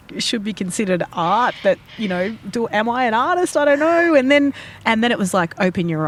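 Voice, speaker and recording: A woman with an Australian accent. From Australia, Fijian-Australian heritage. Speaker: podcast host and artist. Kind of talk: casual chat.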